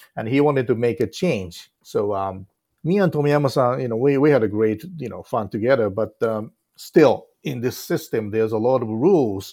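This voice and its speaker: A man with a Japanese accent talks at a moderate pace in a dark, mellow tone, with a medium pitch and lively intonation, on a very clean recording with a silent background. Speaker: film director. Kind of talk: interview.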